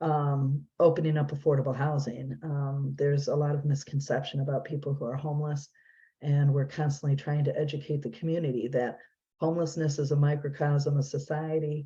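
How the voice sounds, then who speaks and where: A woman with a very deep, low pitch talks at a fairly quick pace in a monotone, flat intonation. Her tone is dark and mellow, somewhat breathy, over a quiet background. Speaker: nonprofit executive director. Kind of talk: presentation. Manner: fast.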